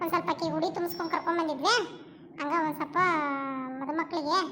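A woman speaks fairly quickly in a squeaky, cartoonish character voice at an extremely high pitch. Background noise is clearly audible. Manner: brash, needling.

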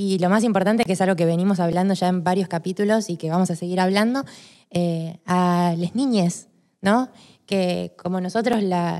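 A woman's medium-pitched voice at a moderate pace, with ordinary pitch variation over a quiet background. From Argentina. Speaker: podcast co-host. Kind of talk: casual chat. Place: studio. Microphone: studio mic.

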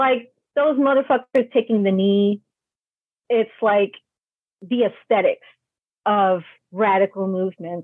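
With a New York accent, a woman speaks at a fairly slow pace in a medium pitch, with long, frequent pauses, ordinary pitch variation and very even loudness. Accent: New York American English. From New York City (Brooklyn, Queens). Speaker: travel writer. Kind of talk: interview conversation.

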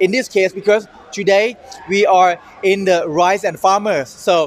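With a high pitch, a man talks at a moderate pace. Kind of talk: casual show-floor presentation. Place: hall.

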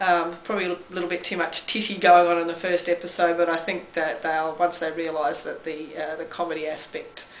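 A woman with an Australian accent speaks fairly quickly at a fairly low pitch, in a monotone, flat intonation with hardly any pauses. Light background noise and audible room echo are present. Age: 40s. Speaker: vlogger. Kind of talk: casual talk to camera. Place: home room. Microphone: camera far.

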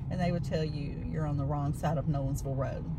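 A woman speaks fast in a low pitch, her intonation fairly even, with audible room echo and loud background noise.

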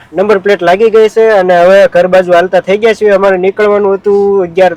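The sound is close and dry, without any echo. Intonation stays fairly even. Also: man. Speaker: village vlogger. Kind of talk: casual vlog narration.

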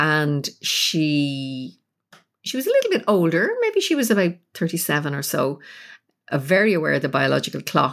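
A woman with a Dublin accent at a moderate pace, in a very clean recording with a silent background. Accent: Irish (Dublin). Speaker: psychotherapist and spiritual teacher. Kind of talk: interview.

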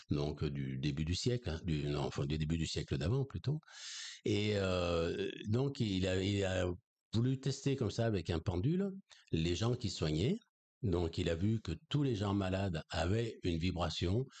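A man speaks fairly slowly in a very deep, low, somewhat breathy voice with lively intonation. His loudness stays very even over a quiet background. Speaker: energy healer and spiritual teacher; spiritual teacher. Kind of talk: conversational interview on esoteric topics. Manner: hesitant, many fillers. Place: home room. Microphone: studio mic.

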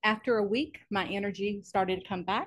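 A woman talks at medium pitch against a quiet background. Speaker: physical therapist. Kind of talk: testimony. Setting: in-person studio.

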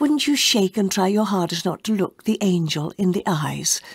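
Somewhat breathy and calm, a woman speaks at a fairly slow pace. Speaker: audiobook narrator. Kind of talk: dramatic audiobook narration, dialogue read in solemn character voices. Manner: formal, old-fashioned phrasing delivered with reverent, theatrical pacing.

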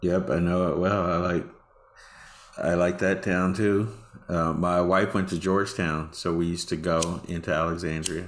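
This man's voice is very deep and low, with an American accent. He keeps a moderate pace and fairly even intonation. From Texas. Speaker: AI ethics officer; panelist. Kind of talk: panel discussion. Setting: video call. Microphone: webcam.

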